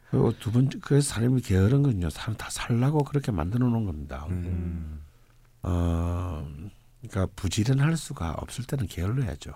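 A man speaks at a moderate pace in a dark, mellow tone, somewhat breathy and fairly low in pitch. His pitch swings very widely. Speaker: fortune-telling (saju) lecturer. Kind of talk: casual chat.

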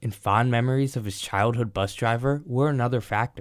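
Medium in pitch, a man talks at a moderate pace in an unremarkable speaking voice. The recording is very clean, with a silent background. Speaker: news reporter. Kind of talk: news reporting.

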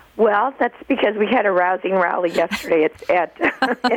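Noticeable background noise sits behind a woman's voice. Her pitch varies in an ordinary way. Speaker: nurse. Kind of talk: interview.

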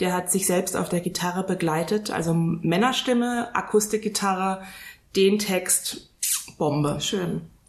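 A woman's plain, everyday voice at medium pitch, with ordinary pitch variation and a fairly slow pace. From Frankfurt area, Hesse. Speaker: wedding celebrant. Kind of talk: casual chat.

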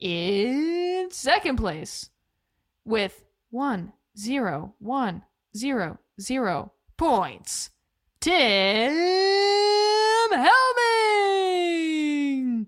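In a put-on character voice, a woman speaks very slowly at a high pitch, with very wide pitch swings and long, frequent pauses. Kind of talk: flat, monotone announcement.

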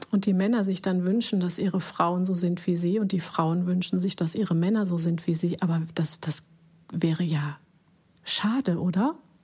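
Fairly low and somewhat breathy, a woman talks at a moderate pace with fairly even intonation and very even loudness. The recording is very clean, with a silent background. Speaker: podcast host, life coach. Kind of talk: reflective monologue.

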